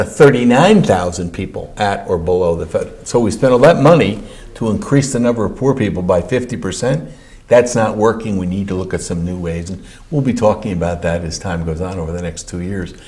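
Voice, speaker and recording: A somewhat breathy man with a fairly low pitch. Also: lively intonation, fairly quick pace. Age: 60s. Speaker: county comptroller. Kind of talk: interview answer.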